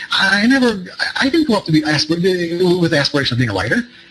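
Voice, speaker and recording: A man with an American accent speaks at a very fast pace, his pitch swinging very widely over noticeable background noise. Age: 60s. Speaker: trading psychology author and speaker. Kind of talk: seminar talk. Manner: halting, many repetitions and fillers.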